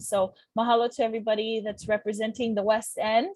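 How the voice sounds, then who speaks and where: Somewhat breathy, a woman speaks at a fairly high pitch. She has a Hawaiian accent and a fairly quick pace. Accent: Hawaii English. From Hawaii, windward Oahu. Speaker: community planner and meeting facilitator. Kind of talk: virtual community meeting introduction. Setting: Zoom video call.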